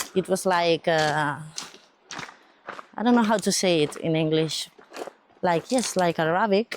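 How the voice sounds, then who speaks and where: The speech moves at a fairly slow pace with ordinary pitch variation. Noticeable background noise runs underneath. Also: woman. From Catalonia, Spain, city near Barcelona. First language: Catalan or Spanish. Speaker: pilgrim interviewee. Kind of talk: casual chat. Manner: halting.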